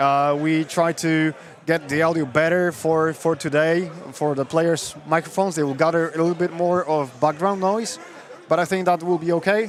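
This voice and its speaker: A man with a Polish accent and a fairly high pitch speaks at a moderate pace with fairly even intonation and very even loudness, against noticeable background noise. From Poland. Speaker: tournament stream commentator. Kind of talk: live commentary. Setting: live stream at event venue. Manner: halting.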